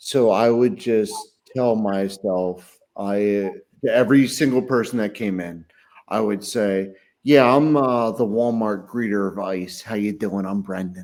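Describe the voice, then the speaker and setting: At a fairly slow pace, a man with an American accent talks in a fairly low pitch with ordinary pitch variation. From southeastern Pennsylvania, Chester County. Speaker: podcast co-host. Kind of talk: casual chat.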